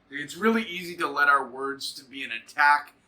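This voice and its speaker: A man's voice, fairly high in pitch. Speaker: devotional host. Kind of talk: devotional talk. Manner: projecting, strong.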